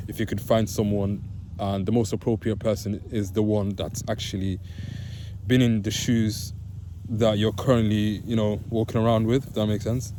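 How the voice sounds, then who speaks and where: A man speaks at a moderate pace in a fairly low voice. His intonation is monotone and flat, with audible room echo. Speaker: vlogger sharing mental health experience. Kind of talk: casual vlog monologue. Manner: hesitant, many fillers.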